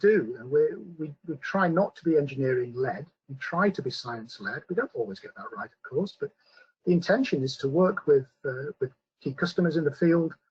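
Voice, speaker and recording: In a British accent, a man speaks with a high pitch and lively intonation at a fairly quick pace, recorded with a dry, close sound and no echo. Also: big swings in loudness. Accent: British accent, noticeable. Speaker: scientist presenting a company webinar. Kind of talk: webinar presentation with Q&A. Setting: online webinar. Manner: hesitant, many fillers.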